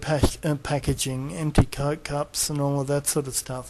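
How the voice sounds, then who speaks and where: The pace of delivery is moderate. An Australian accent colors the speech. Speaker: video blogger. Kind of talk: casual monologue. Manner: hesitant, many fillers.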